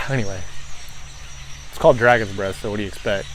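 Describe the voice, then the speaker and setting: A man's voice over noticeable background noise. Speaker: pepper reviewer. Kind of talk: casual video review. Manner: slurred speech from salivating.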